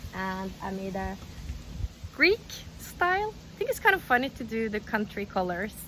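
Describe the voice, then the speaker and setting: A woman speaks at a moderate pace. Her speech has long, frequent pauses. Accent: Norwegian. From Norway. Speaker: crochet youtuber. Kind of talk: tutorial. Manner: casual, chatty with fillers.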